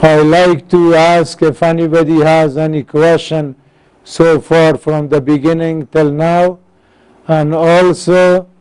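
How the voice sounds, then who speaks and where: A man's fairly high voice, monotone and flat, at a very slow pace. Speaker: engineering course instructor. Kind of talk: lecture.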